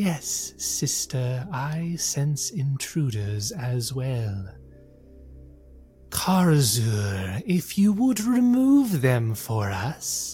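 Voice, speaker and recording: With faint music in the background, a put-on character voice sits at a low-to-middle pitch and moves at a very slow pace. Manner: ominous, commanding.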